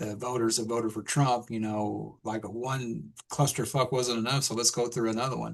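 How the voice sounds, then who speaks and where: A man with an American accent talks at a moderate pace and medium pitch, with hardly any pauses. He has a plain, everyday voice and fairly even intonation. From Texas. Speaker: podcast guest. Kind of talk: casual chat.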